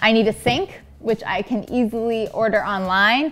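A woman speaks with ordinary pitch variation. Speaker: DIY vlogger. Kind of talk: casual vlog chat. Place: home room.

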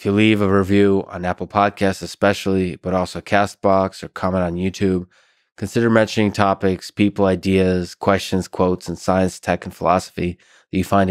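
Very deep and low in pitch, a man talks at a fairly quick pace in monotone, flat intonation. The sound is dry with no echo, and the background is quiet. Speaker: podcast host. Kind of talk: podcast intro monologue. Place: studio. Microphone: studio mic.

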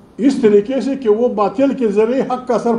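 A man speaks with a high pitch. His pitch varies in an ordinary way. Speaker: speaker. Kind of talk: press conference speech. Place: hall. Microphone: handheld.

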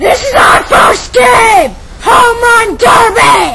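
Shouting in a put-on character voice, the speaker hits an extremely high pitch. The delivery is very slow. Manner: very loud, shouting.

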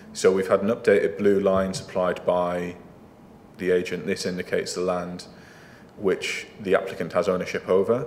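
The voice moves at a moderate pace over light background noise. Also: man. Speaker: council planning officer. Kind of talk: formal presentation to a council committee. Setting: council meeting room. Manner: halting, repeats words. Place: meeting room.

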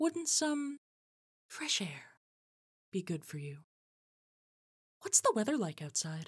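Very slow and full of long, frequent pauses, a woman's fairly high, somewhat breathy voice swings very widely in pitch on a very clean recording with a silent background. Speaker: voice actor. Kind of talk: read story narration.

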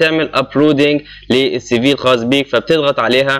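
In an Egyptian accent, a man speaks at a fairly high pitch. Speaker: YouTube channel host explaining job applications. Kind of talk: screen-recorded tutorial. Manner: casual, with frequent hesitations.

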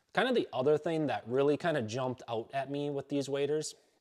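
Behind this man, the background stays quiet. He talks at a moderate pace. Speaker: hunter reviewing gear. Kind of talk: product review talk. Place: home room.

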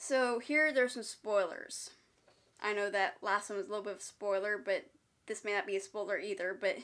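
Ordinary pitch variation from a woman moving at a fairly quick pace. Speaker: movie reviewer. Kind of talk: casual review commentary. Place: home room. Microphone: phone near.

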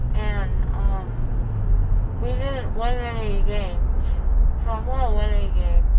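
There is loud background noise. Through it, a woman talks. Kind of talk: casual groggy chat. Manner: slurred, numb-mouthed post-surgery speech. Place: car. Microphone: phone near.

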